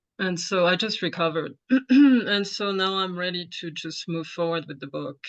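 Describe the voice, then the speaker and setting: A woman with a French accent, fairly low in pitch, ordinary pitch variation, big swings in loudness, a moderate pace, and a quiet background. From France. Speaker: yoga instructor and aspiring author. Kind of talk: Q&A question. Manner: halting.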